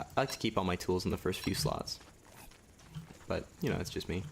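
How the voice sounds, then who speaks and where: Soft-spoken, the man talks at a moderate pace with lively intonation. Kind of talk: let's play game commentary.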